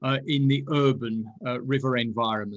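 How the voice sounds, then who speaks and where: A man talks at a moderate pace in a Lancashire accent. His pitch is medium and his intonation fairly even. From northern England, Burnley, Lancashire. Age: 60s. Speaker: ecology professor. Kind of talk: lecture. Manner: halting.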